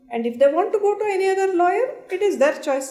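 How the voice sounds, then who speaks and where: Her pitch swings very widely as the woman talks at a fairly quick pace. Noticeable background noise runs underneath. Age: 60s. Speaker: senior lawyer. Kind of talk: panel discussion.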